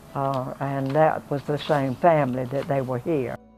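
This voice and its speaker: Here a woman speaks with a South Carolina accent at a fairly slow pace. Her pitch is very deep and low. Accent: Southern US (South Carolina). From South Carolina, USA. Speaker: retired teacher, minister's wife. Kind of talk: oral history interview answer.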